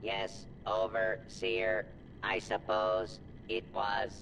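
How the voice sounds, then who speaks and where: Over loud background noise, a man uses a put-on character voice and speaks at a very slow pace. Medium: video game. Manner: formal, precise.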